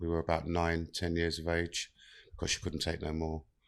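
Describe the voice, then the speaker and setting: Against a quiet background, a man with a London accent speaks in a very deep, low voice with monotone, flat intonation. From South London. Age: 50s. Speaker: mental health and inclusion worker with past prison time. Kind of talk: podcast interview, life story.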